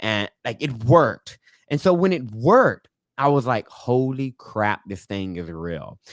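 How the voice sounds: Soft-spoken and slow, a man talks at a medium pitch with lively intonation.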